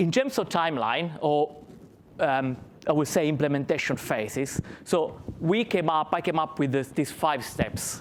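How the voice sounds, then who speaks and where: A man with an Italian accent and a fairly high pitch. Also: ordinary pitch variation, fairly slow pace. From Italy. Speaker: finance consultant, conference speaker. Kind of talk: conference presentation.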